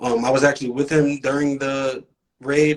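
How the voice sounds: A man with an American accent speaks with little pitch movement. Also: fairly bright tone.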